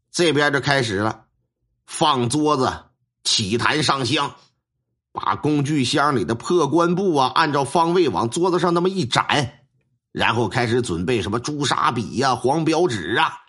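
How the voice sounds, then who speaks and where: Over a quiet background, a man with a Northeastern Chinese accent speaks at a fairly slow pace in a fairly high voice with a bright, sharp tone. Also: lively intonation. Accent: Northeastern Mandarin. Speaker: storyteller, folk shaman. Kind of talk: storytelling narration. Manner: animated.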